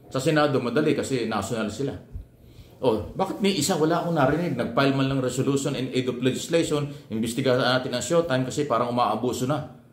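The tone is animated and the pace very fast, with ordinary pitch variation. Audible room echo surrounds the voice. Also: man. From Philippines. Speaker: vlogger and media commentator; political commentator. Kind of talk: opinion commentary monologue. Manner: animated, rhetorical. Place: home room. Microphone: phone near.

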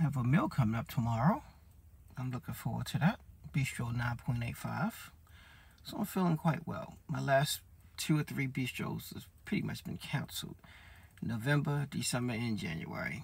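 A man's moderate-paced speech with vocal fry and long, frequent pauses. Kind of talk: casual vlog chat. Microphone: phone near.

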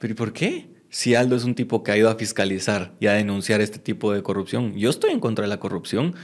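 Speaking at a very fast pace, a man with a fairly low pitch shows ordinary pitch variation against a quiet background. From Guatemala. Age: 20s. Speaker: mayoral candidate; candidate. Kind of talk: interview. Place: studio. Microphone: studio mic.

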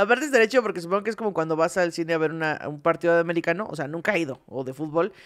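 A woman in a Mexican accent with a fairly low pitch and lively intonation, at a very fast pace with hardly any pauses, over a quiet background. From Mexico. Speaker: comedy podcast co-host; podcast co-host. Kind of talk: casual comedic chat. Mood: playful, joking. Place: studio. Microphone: studio mic.

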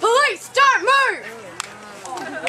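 Over clear background noise comes a put-on character voice at an extremely high pitch. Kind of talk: commanding shout. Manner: loud.

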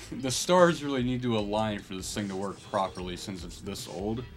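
Faint background music behind a man speaking at a moderate pace. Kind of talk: casual vlog chat. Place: home room. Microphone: phone near.

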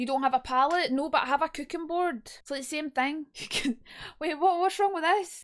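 A woman speaks at an extremely high pitch with a Scottish accent. Her pace is fairly quick, and the background is quiet. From Scotland. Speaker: streamer. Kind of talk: casual livestream talk. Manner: chatty, humorous. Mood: playful, joking. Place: home room. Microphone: studio mic.

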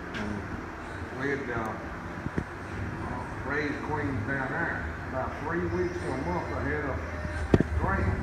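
Over loud background noise and audible room echo, a man with an American accent speaks very slowly, leaving long, frequent pauses. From North Carolina. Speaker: beekeeper. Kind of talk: oral history interview answer. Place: hall. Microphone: phone near.

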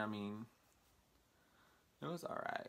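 Speaking at a moderate pace with an American accent, a man has a fairly low pitch. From Texas, small town. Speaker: vlogger. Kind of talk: casual vlog monologue. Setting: talking to camera. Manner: halting, many fillers. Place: home room. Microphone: phone near.

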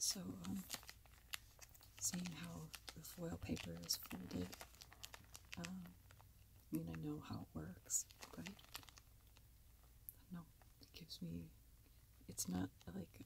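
Soft-spoken and at a very slow pace, a woman talks in a very deep, low voice with long, frequent pauses over noticeable background noise. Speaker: ASMR content creator. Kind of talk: casual talk to camera, reflective commentary over old videos. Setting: lavalier microphone, lo-fi recording.

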